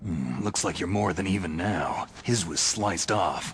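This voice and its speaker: Growling in a put-on character voice, the speaker keeps a very even loudness over light background noise. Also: man, very deep, low pitch for a man, moderate pace. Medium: video game. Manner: terse, gruff.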